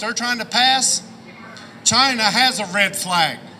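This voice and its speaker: A man's raised, projected voice, high in pitch with ordinary variation, fairly slow, in an American accent, over noticeable background noise. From southern Ohio. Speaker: rally speaker. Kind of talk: rally speech. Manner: impassioned.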